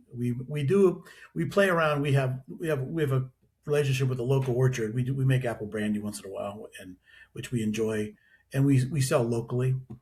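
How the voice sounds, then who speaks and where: Somewhat breathy, a man with an American accent talks at a fairly quick pace and medium pitch with ordinary pitch variation, in a very clean recording with a silent background. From western Pennsylvania. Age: 60s. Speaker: distillery owner. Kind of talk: podcast interview. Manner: halting, many restarts.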